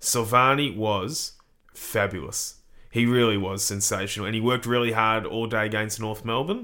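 Speaking with an Australian accent, a man of medium pitch keeps a moderate pace and fairly even intonation in a bright, sharp tone. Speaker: podcast co-host. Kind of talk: casual sports podcast analysis.

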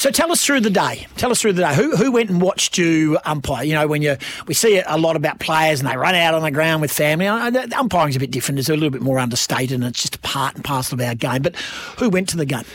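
Upbeat and cheerful, a man with a fairly high pitch and an Australian accent talks at a very fast pace with lively intonation. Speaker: radio host. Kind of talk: radio DJ patter, bantering and teasing the producer, plugging the show and the text line. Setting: radio studio. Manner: upbeat, jokey, quick-talking with cheerful banter.

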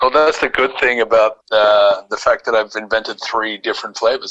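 With an Australian accent, a man talks at a fairly quick pace in a dry, close sound with no echo. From Australia, Sydney (Bondi Beach). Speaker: small business founder. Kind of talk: casual interview.

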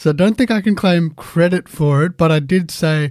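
A man with an Australian accent talks at a moderate pace on a very clean recording with a silent background. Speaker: sports podcast host. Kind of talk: casual sports panel chat.

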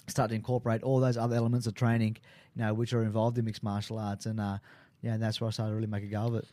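Very fast speech from a man at medium pitch, dark and mellow in tone, monotone and flat, on a very clean recording with a silent background. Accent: strong Australian. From Sydney, Australia (Maroubra). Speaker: MMA fighter and big wave surfer. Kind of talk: casual interview. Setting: radio studio.

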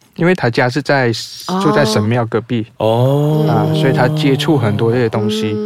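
Against noticeable background noise, a man with a Taiwanese accent and a medium pitch speaks at a moderate pace, his loudness very even. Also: ordinary pitch variation. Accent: Taiwanese-tinged Mandarin. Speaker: guest sharing ghost encounters. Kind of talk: casual storytelling chat.

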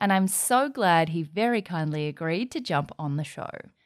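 On a very clean recording with a silent background, a woman with an Australian accent talks at a moderate pace with very wide pitch swings. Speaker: podcast host. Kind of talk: casual interview.

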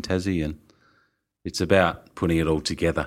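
With an Australian accent, a man with a very deep, low pitch talks at a very fast pace on a very clean recording with a silent background. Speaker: winemaker. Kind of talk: interview. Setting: in person, Melbourne.

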